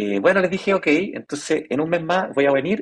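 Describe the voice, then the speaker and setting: At a very fast pace, a man with a fairly high voice talks in a dry, close sound with no echo. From Chile. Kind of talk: interview.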